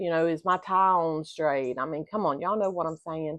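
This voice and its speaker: Against a quiet background, a woman speaks in a plain, everyday voice with fairly even intonation and a fairly low pitch. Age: 60s. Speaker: vlogger on retirement life. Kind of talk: casual talk to camera. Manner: conversational, with frequent fillers.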